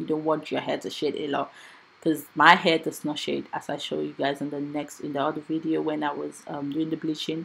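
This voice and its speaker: A woman talks with vocal fry at a very deep, low pitch. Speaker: hair stylist and wig maker. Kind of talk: tutorial. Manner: fast.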